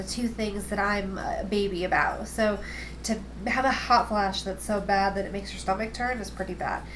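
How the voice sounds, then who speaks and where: A woman mumbles. Audible room echo and noticeable background noise surround her. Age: 20s. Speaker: video blogger, cancer patient. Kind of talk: casual video diary. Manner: fast; mumbling. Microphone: built-in camera microphone.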